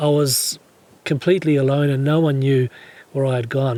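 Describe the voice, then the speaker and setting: A man with a fairly high pitch and ordinary pitch variation at a moderate pace, over noticeable background noise. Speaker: 4WD touring vlogger. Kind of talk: casual storytelling to camera.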